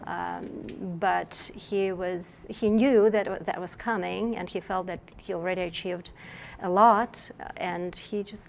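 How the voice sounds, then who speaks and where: A woman with a Russian accent at a fairly slow pace. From Russia (Moscow). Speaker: novelist. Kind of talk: interview. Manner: halting, with many fillers and restarts.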